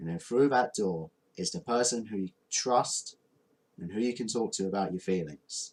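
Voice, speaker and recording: A man speaks at a moderate pace. His pitch is medium and his intonation lively. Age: 20s. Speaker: vlogger. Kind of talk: personal talk to camera. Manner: halting.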